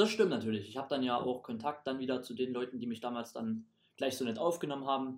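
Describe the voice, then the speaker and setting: Speaking very fast, a man shows ordinary pitch variation. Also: medium pitch for a man. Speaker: stage performer at a holiday camp. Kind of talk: casual chat.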